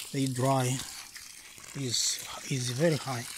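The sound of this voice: Vocal fry runs through slow delivery with little pitch movement. Faint background noise sits underneath.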